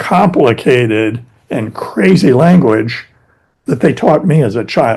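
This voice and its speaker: Somewhat breathy, the voice has an American accent and lively intonation. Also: man. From US East Coast, Philadelphia-born. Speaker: YouTube English teacher. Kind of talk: casual interview conversation.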